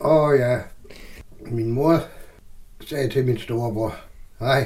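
Audible room echo surrounds a man speaking. He talks at a very slow pace with fairly even intonation. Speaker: theatre person, Christiania resident. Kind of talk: interview, personal recollection. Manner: halting.

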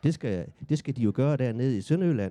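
A man with a Southern Jutland accent speaks at a very fast pace in a dark, mellow tone. His pitch swings very widely. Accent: Southern Jutland Danish. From Southern Jutland, Denmark. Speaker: author and playwright. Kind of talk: interview conversation. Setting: café.

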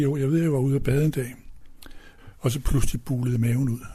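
Somewhat breathy and dark, mellow in tone, a man speaks at a fairly high pitch and fairly quick pace with fairly even intonation. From Denmark, Odsherred (northwest Zealand). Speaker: retired pastor and hymn writer. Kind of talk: casual interview. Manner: halting.

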